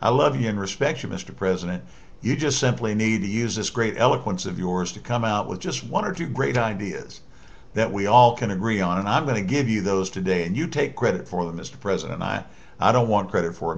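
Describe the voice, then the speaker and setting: A man with a fairly low pitch talks at a fairly quick pace. His intonation is lively, with audible room echo. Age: 60s. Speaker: political commentator. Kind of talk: political monologue addressed to the president. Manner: halting, many fillers and restarts.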